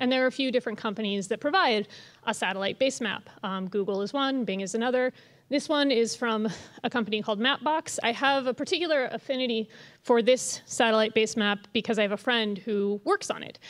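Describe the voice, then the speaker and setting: The woman's pace is fairly quick and her pitch varies in an ordinary way. Behind her, the background is quiet. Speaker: presenter. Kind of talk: lecture. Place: hall. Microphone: podium.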